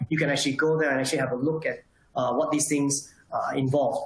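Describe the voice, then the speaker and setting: Noticeable background noise and audible room echo surround the speaker. He is a man with a fairly high pitch. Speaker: solar industry association representative. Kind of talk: webinar presentation. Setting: online webinar. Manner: fast.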